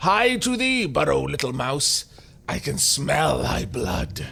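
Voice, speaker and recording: A man uses a booming, put-on character voice at a fairly slow pace. Background noise is clearly audible. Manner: menacing, archaic speech.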